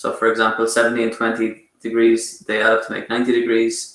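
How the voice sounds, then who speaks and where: Here a man talks at a medium pitch. His pace is fairly quick. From Ireland. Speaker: math lecturer. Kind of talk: online lecture. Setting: online class with chat. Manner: fast; hesitant with many fillers.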